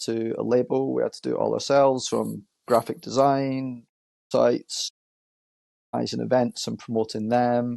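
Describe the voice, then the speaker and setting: A man with a Scottish accent speaks at a moderate pace, the sound dry and close with no echo. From Scotland, Edinburgh. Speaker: marketing agency owner. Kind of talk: podcast interview. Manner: hesitant, many fillers.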